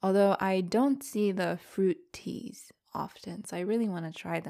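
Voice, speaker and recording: An ordinary speaking voice from a woman with an American accent, medium pitch and ordinary pitch variation, on a very clean recording with a silent background. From United States. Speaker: podcast co-host. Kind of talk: casual chat.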